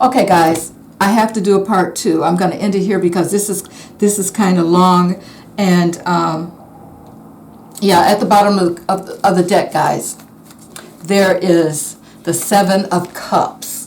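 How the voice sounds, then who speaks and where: A woman's monotone, flat delivery at a fairly slow pace, with audible room echo and noticeable background noise. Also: medium pitch for a woman. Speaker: tarot reader. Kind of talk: tarot reading monologue. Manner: halting, many fillers.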